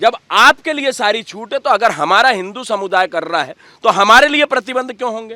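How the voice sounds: Pitched high for a man, his voice has a bright, sharp tone and lively intonation. He talks at a fairly quick pace in a dry, close sound with no echo.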